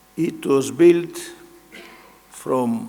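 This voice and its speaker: A man speaks in a high pitch with a Greek accent. Noticeable noise sits in the background. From Greece. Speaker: engineering association president and professor. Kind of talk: keynote speech. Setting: large hall with audience. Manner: slow.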